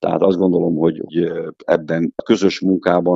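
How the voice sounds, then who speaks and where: A man speaks at a moderate pace. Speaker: handball federation sports director. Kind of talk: radio interview.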